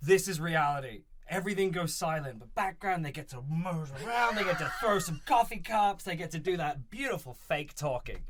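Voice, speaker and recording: A man speaks fairly quickly in a high voice, with hardly any pauses, lively intonation and an animated tone. His loudness swings a lot, and there is noticeable background noise. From England, London. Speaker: film crew worker. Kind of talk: casual chat.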